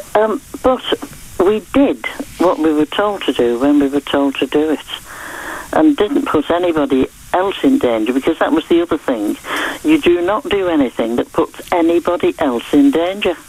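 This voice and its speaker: A woman speaks at a moderate pace with a fairly low pitch, very wide pitch swings and very even loudness. Noticeable background noise is present. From northern England. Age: 80s+. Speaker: caller. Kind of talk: radio phone-in call.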